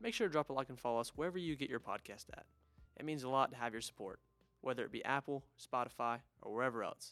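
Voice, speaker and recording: Over music in the background, a man at medium pitch talks at a very fast pace with ordinary pitch variation. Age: young. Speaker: podcast host. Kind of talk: casual chat.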